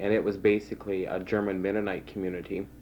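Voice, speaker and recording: A man's fairly low, monotone voice with flat intonation, in a western Canadian accent. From Saskatchewan, Canada (rural Rosetown area). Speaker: oral history interviewee. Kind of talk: oral history interview. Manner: hesitant, many fillers.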